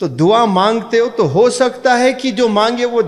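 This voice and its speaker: This is a man with a high-pitched voice. His pitch varies in an ordinary way. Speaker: motivational speaker and English teacher. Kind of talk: Islamic motivational speech to an audience.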